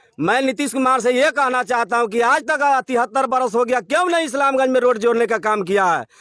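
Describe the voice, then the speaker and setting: This man's voice sits extremely high for a man, with ordinary pitch variation. He speaks at a moderate pace on a very clean recording with a silent background. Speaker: villager. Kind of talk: street interview complaint.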